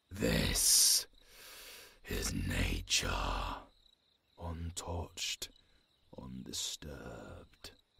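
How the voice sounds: In a put-on character voice, a man speaks at a very slow pace with extremely low pitch, big pitch swings, a bright, sharp tone, vocal fry and long, frequent pauses.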